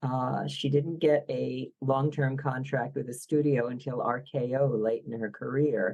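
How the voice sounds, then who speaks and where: With a Philadelphia accent, a woman speaks in a very deep, low pitch. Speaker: biographer. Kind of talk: podcast interview.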